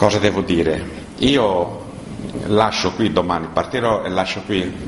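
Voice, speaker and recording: Noticeable background noise surrounds this voice. A man speaks at a fairly low pitch. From Sardinia, Italy. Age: 80s+. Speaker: musician. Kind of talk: interview statement. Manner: halting.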